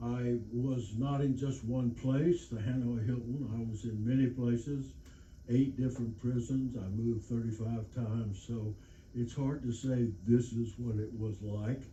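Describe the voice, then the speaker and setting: A man with an American accent speaks in a somewhat breathy, dark, mellow tone at medium pitch with fairly even intonation, and audible room echo around him. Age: 80s+. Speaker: war veteran. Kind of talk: lecture. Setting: stage with audience. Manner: halting.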